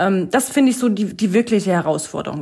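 An unremarkable speaking voice with ordinary pitch variation talks at a fairly quick pace. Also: woman. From Lower Saxony, near Hanover. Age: 30s. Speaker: financial advisor. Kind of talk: casual interview. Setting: home office video call.

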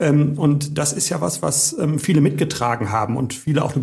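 His voice is fairly high for a man, with vocal fry and ordinary pitch variation. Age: 50s. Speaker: mayor. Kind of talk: interview. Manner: hesitant fillers.

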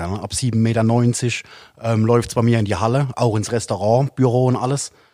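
Moderate pace and fairly even intonation from a man with a medium pitch and a dark, mellow tone. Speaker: catfish angling guide and YouTuber. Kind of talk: casual chat.

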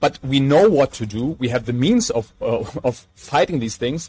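Speaking in a German accent, a man keeps to a medium pitch. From Germany, Mainz. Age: 30s. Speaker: entrepreneur and sustainability activist. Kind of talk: interview.

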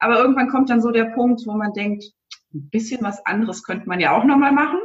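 A woman at a high pitch. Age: 40s. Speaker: aspiring virtual assistant, mother of three. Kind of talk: interview.

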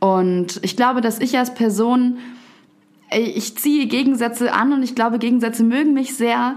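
A woman speaks at a moderate pace in a high pitch, with very even loudness and fairly even intonation. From Upper Bavaria, Garmisch. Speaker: poetry slammer and author. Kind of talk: casual interview. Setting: studio.

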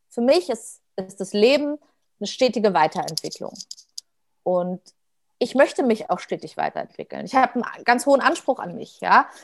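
A woman's fairly high voice with vocal fry and very wide pitch swings, at a moderate pace broken by long, frequent pauses, in a dry, close sound with no echo. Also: big swings in loudness. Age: 30s. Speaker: dancer and performer. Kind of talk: casual chat.

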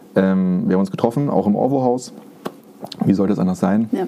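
Noticeable noise sits in the background. A man speaks fairly quickly over it. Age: 30s. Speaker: guitarist and songwriter. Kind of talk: casual chat.

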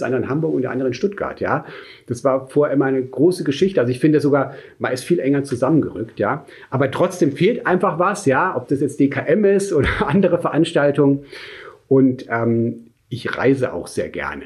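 A man talks at a very fast pace with a fairly high pitch. His intonation is lively and his voice somewhat breathy. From Munich, Germany. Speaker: insurance sales executive. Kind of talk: interview. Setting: in person in Munich. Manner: hesitant with fillers.

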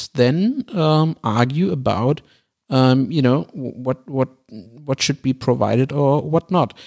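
This man has a German accent and a fairly high voice with ordinary pitch variation. He talks at a very slow pace, and the sound is dry and close with no echo. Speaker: podcast co-host. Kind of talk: casual debate. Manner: halting.

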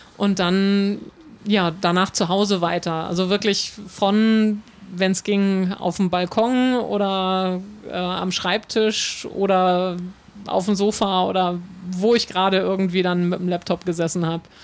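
At a fairly slow pace, a woman of medium pitch speaks in a flat monotone. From northern Germany, North Frisia. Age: 40s. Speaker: harbour tour guide. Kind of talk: interview. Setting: outdoors on a ship in the harbour.

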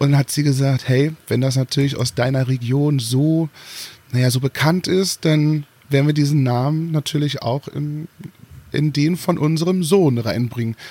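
With a fairly high pitch for a man and a dark, mellow tone, he talks at a moderate pace, somewhat breathy, with fairly even intonation in a dry, close sound with no echo. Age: 30s. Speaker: singer and former drag performer. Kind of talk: interview.

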